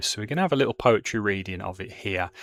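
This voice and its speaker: Recorded very cleanly against a silent background, with a dry, close sound and no echo, a man speaks in a Birmingham accent at a fairly low pitch. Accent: Birmingham (Brummie). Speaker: teacher explaining a poem. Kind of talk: informal classroom explanation with fillers.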